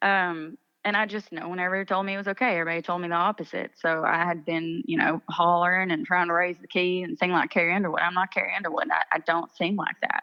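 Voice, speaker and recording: Talking very fast with hardly any pauses, a woman with an Appalachian accent has a fairly low pitch and ordinary pitch variation. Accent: Appalachian Southern US. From eastern Kentucky. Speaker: country singer-songwriter. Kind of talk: interview. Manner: casual, animated.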